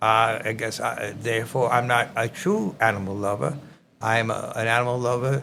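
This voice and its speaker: A man with a strong New York accent, medium pitch and moderate pace. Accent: thick New York. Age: 80s+. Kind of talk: podcast conversation.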